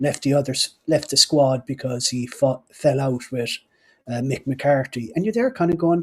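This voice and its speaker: A man with a Cork accent speaks in a fairly high, somewhat breathy voice on a very clean recording with a silent background. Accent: Cork Irish. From Ireland, Cork. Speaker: podcast host. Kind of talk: casual chat. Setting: live stream.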